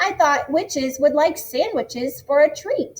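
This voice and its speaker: A woman puts on a character voice, speaking high with lively intonation. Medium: read story. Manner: grumbling, sardonic.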